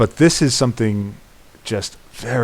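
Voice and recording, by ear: The voice reads aloud in a natural manner.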